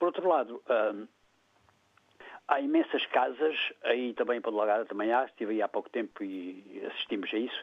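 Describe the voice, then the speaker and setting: Long, frequent pauses from a man at a moderate pace. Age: 60s. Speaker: caller. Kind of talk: phone-in opinion. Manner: halting, with repetitions.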